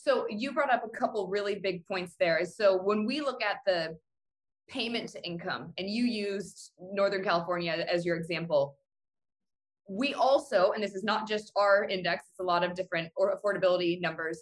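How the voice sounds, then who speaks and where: Her voice, an unremarkable speaking voice, holds a medium pitch with ordinary pitch variation as the woman talks at a moderate pace. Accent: American. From Cleveland, Ohio. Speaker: housing economist. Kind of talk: casual interview.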